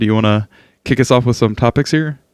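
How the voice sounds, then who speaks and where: A man with an American accent speaks in a normal speaking voice at a medium pitch with ordinary pitch variation. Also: very clean recording, silent background. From United States. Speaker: podcast host. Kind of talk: casual chat.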